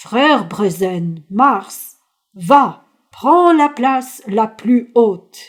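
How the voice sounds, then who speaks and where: A woman's put-on character voice, fairly high, very slow, with very wide pitch swings. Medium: read story. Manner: slow, solemn.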